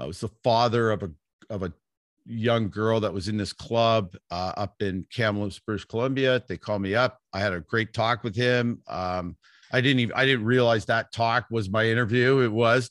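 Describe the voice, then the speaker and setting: A man with a Western Canadian accent speaks at a moderate pace and medium pitch, keeping his intonation fairly even. The sound is dry and close with no echo, on a very clean recording with a silent background. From Vancouver, Canada. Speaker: athletics coach. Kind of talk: casual interview.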